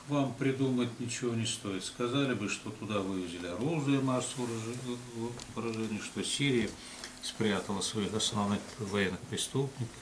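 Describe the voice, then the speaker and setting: Noticeable background noise behind a man's moderately paced speech, with ordinary pitch variation. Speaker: public speaker. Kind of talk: casual discussion. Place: office.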